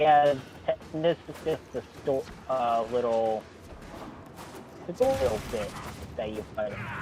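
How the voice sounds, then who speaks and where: A man speaks at a fairly slow pace with long, frequent pauses, medium pitch, ordinary pitch variation, big swings in loudness, and noticeable background noise. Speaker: co-player on stream. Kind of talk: casual chat. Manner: halting, stumbles over words.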